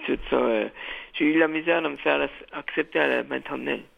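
A man speaks against noticeable background noise. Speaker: community radio host. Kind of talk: interview. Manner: halting, repeats words.

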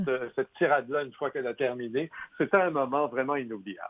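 A man is speaking. He has a Quebec accent. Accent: Québécois French. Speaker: film critic and author. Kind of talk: interview.

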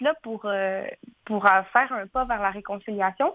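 Her pitch fairly high with ordinary variation, a woman talks at a very slow pace. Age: 20s. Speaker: fashion designer and entrepreneur. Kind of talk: radio interview.

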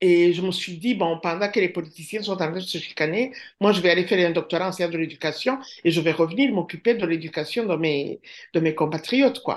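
A woman's fairly low voice at a fairly quick pace, with ordinary pitch variation, over a quiet background. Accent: Rwandan. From Rwanda. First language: Kinyarwanda (speaking French). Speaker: professor. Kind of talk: interview.

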